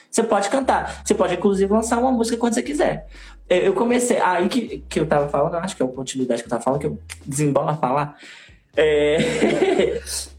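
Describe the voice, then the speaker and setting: The man talks at a very fast pace in a high pitch, his voice making very wide pitch swings. Noticeable background noise runs under him. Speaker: singer and theater artist. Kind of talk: casual chat. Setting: live video stream.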